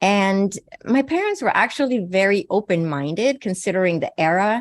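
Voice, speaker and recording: Against a quiet background, a woman speaks at a fairly slow pace with a Swedish accent. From Sweden. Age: 60s. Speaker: naturopathic physician and psychic medium. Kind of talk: interview.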